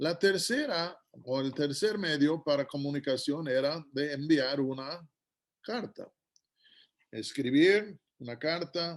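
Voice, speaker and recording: A man's fairly high voice at a very slow pace. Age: 60s. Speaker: guest preacher. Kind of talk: sermon.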